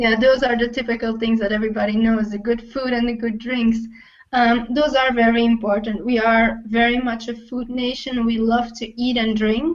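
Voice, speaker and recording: A woman with a Flemish accent and a fairly high pitch talks at a moderate pace. Her intonation is monotone and flat. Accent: Belgian Dutch (Flemish) accent in English. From Belgium (Dutch-speaking). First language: Dutch. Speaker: travel blogger. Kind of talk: interview.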